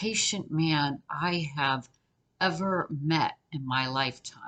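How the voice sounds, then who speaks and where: Speaking very slowly, a woman with an American accent uses a very deep, low pitch. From New York. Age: 60s. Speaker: interview guest, divorced woman. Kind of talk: casual chat.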